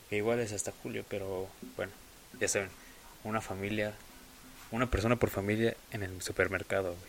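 A man with a Mexican accent talks at a fairly quick pace in a fairly low pitch, his intonation monotone and flat, broken by long, frequent pauses. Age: young. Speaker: podcast host. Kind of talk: casual monologue. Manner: hesitant.

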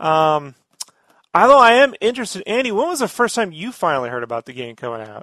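Raising and projecting his voice, a man with a high, bright and sharp tone races along at a very fast pace with very wide pitch swings. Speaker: podcast host. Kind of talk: casual chat. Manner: talkative, jokey.

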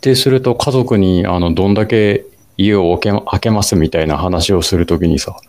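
A man's ordinary speaking voice, fairly low in pitch, at a moderate pace with ordinary pitch variation. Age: 40s. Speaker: amateur runner podcast co-host. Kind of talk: casual chat; scripted narration.

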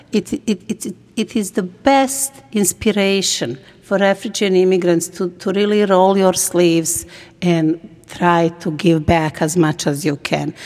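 Here a woman talks at a fairly slow pace. Her pitch is medium, with ordinary variation. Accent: Bosnian. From Bosnia. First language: Bosnian. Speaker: nonprofit executive director and former refugee. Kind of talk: interview.

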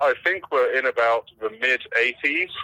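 A man with an English accent at a moderate pace, the sound dry and close with no echo. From England. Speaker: AI policy director. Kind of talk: phone interview. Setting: phone call.

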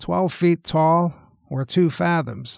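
A man talks in a plain, everyday voice with ordinary pitch variation. The sound is dry and close, with no echo. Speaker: talk show host. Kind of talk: mock interview with a historical figure, scripted.

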